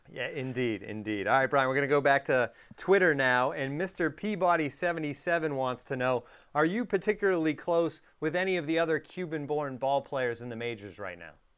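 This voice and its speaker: This man has a normal speaking voice pitched fairly high. His intonation is lively and his pace fairly quick. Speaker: podcast host. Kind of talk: casual interview.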